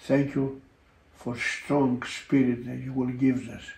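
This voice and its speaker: A man speaks at a medium pitch and a fairly slow pace, with a dark, mellow tone that is somewhat breathy. His intonation is monotone and flat, and audible room echo surrounds him. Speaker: pastor. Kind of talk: fervent spoken prayer. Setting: online broadcast. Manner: impassioned, stacking urgent commands and repeated 'my Lord'; punctuated by ecstatic interjections of hallelujah and amen. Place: home room.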